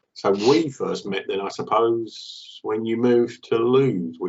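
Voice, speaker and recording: A man speaks at a fairly slow pace. He has a southeast English accent and ordinary pitch variation. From England, Kent (Maidstone). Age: 50s. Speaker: company director, charity fundraiser. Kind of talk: casual chat.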